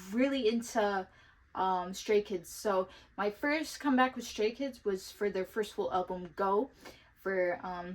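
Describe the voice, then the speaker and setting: In a very clean recording with a silent background, a woman with an ordinary speaking voice talks fairly slowly at medium pitch with ordinary pitch variation. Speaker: K-pop collector vlogger. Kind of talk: casual vlog talk.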